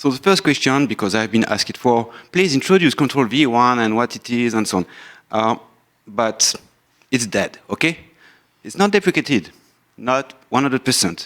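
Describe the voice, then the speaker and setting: A man speaks with a French accent and lively intonation. His speech has long, frequent pauses. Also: medium pitch for a man, moderate pace. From France. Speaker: software engineer and company founder. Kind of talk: conference talk.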